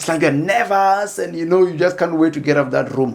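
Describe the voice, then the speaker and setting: Noticeable background noise sits behind a man's voice. He speaks in a high pitch with ordinary pitch variation. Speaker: educational YouTuber. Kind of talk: tutorial. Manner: fast; halting, many fillers and repeats.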